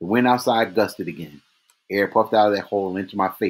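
A natural voice reading aloud, the background quiet

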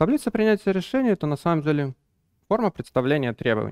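His pitch swinging very widely, a man is talking. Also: quiet background. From Belarus, Minsk; Belarus. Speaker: business analysis lead and trainer; trainer. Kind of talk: conference talk. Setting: stage with audience. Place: hall. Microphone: headset.

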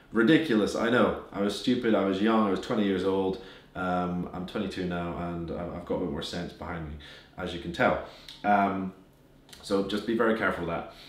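A man's very deep, low voice with a British accent, broken by long, frequent pauses. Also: ordinary pitch variation. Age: 20s. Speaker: business owner giving finance advice. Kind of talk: casual, occasional swearing. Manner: fast talker.

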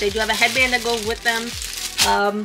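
A woman speaks over clear music playing in the background. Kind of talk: casual product tour. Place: shop. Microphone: camera far.

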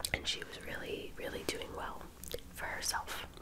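Over loud background noise, a woman whispers in a soft-spoken way. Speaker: true crime storyteller. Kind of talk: casual vlog narration. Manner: soft close-mic ASMR whisper. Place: home room. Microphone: studio mic.

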